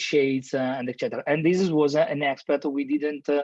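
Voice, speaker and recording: A man speaks with an Italian accent. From Italy (Milan). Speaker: architect. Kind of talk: lecture. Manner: halting, many fillers and repetitions.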